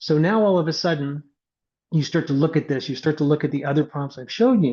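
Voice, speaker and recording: A man talks fairly quickly in a fairly high, somewhat breathy voice with a dark, mellow tone. His pitch varies in an ordinary way over a quiet background. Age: 50s. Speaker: AI trainer. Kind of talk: webinar presentation. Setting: online webinar. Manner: casual, energetic.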